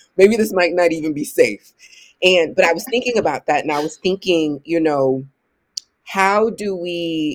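Speaking at a moderate pace, a woman with an American accent uses a plain, everyday voice, a fairly low pitch and lively intonation. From US Midwest (Ohio). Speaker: author and spiritual educator. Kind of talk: casual interview conversation.

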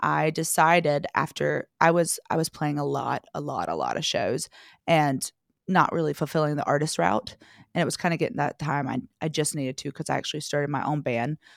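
Very deep, low female voice with a slight North Carolina accent at a moderate pace, dry and close with no echo, on a very clean recording with a silent background. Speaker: singer-songwriter. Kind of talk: casual interview chat.

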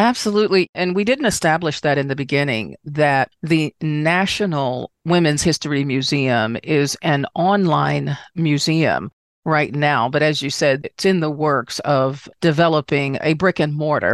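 A woman with an American accent speaks at a fairly slow pace with hardly any pauses, her very deep, low pitch showing ordinary variation and very even loudness, in a dry, close sound with no echo over a quiet background. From Washington, D.C. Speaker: podcast host, travel professional. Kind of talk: casual interview chat.

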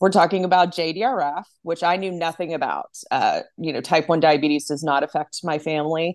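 A woman has a plain, everyday voice, with fairly low pitch and fairly even intonation. The sound is dry and close with no echo, over a quiet background. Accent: American. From Texas (Arlington, Dallas-Fort Worth area). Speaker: nonprofit development director. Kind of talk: interview.

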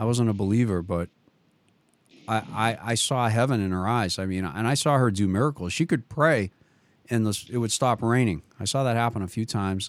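In a Boston accent, a man speaks fairly quickly at a medium pitch with ordinary pitch variation, on a very clean recording with a silent background. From Boston area, Massachusetts. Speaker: radio host. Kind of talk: casual chat, radio interview. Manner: warm, enthusiastic.

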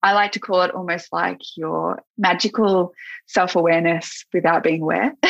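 In an Australian accent, a woman with vocal fry and a fairly low pitch speaks at a moderate pace with fairly even intonation. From Australia, Gippsland, Victoria. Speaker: kinesiologist and yoga teacher. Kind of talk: casual interview.

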